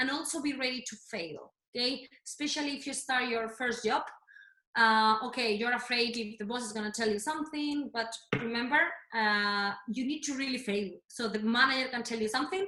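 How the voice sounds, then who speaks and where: The voice has a bright, sharp tone, moving at a fairly quick pace with ordinary pitch variation. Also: woman, high pitch for a woman. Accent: Spanish. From Spain, Madrid. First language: Spanish. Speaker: fitness and health coach. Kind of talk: workshop talk. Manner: halting.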